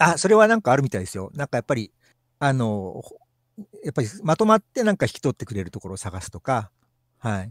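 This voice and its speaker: A man races along at a very fast pace with very wide pitch swings and big swings in loudness, heard in a dry, close sound with no echo. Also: medium pitch for a man. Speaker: maker who performs with a puppet skeleton. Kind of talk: casual chat. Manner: halting, many fillers.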